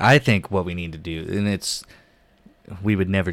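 A man speaks with an American accent at a moderate pace. His tone is animated, and the recording is very clean with a silent background. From Oklahoma, US. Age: 20s. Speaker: podcast host, comedian. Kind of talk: casual chat. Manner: animated, laughs a lot.

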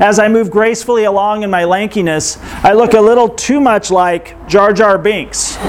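Against noticeable background noise, a man talks fast-ish at a fairly quick pace, high in pitch with ordinary pitch variation. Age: 40s. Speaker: pastor. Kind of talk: sermon. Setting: outdoor yurt church gathering.

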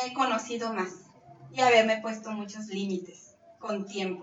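A fairly high-pitched woman at a fairly slow pace, with fairly even intonation and audible room echo. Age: 30s. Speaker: bariatric surgery patient. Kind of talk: testimony.

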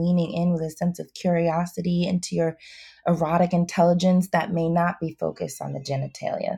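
A woman with a fairly low, somewhat breathy voice and a dark, mellow tone speaks in a monotone with flat intonation, on a very clean recording with a silent background. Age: 30s. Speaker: clinical sexologist and therapist. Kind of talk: interview. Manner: hesitant, many fillers.

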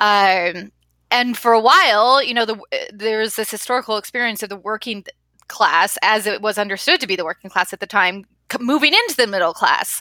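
A woman's plain, everyday voice at a fairly high pitch, with a fairly quick pace and ordinary pitch variation. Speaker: podcast host. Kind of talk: casual interview.

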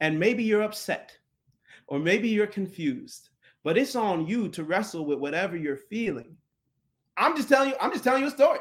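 A man's high-pitched voice in an American accent, fairly quick yet broken by long, frequent pauses, with very wide pitch swings, on a very clean recording with a silent background. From USA. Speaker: poet. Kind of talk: casual chat; reading aloud.

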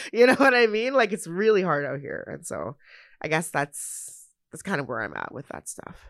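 In a Canadian accent, a woman at medium pitch speaks at a moderate pace with vocal fry, very wide pitch swings and big swings in loudness against a quiet background. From Canada, Edmonton. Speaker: spoken word poet and arts worker. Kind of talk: casual interview conversation.

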